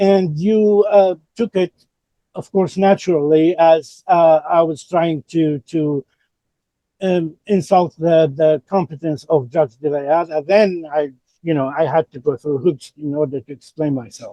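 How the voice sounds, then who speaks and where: A man speaks with a non-native accent and a fairly high pitch. His pace is fairly slow and his pitch variation ordinary. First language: not English. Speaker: father in custody court case, self-represented. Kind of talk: court hearing argument. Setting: courtroom. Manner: halting, repeats words.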